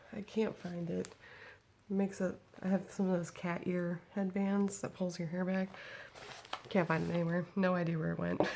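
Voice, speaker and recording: A woman's fairly low, monotone, flat voice, broken by long, frequent pauses, over noticeable background noise. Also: moderate pace. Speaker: vlogger. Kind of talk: casual chat. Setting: at home, baby in crib nearby.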